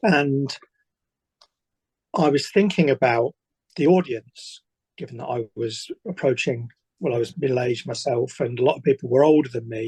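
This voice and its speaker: At a moderate pace with long, frequent pauses, a man talks in a medium pitch with ordinary pitch variation and a somewhat breathy quality, the sound dry and close without echo. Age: 60s. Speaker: author. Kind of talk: interview.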